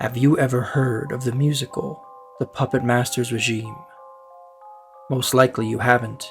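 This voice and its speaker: Someone talks at a moderate pace with music playing in the background. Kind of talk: horror story narration.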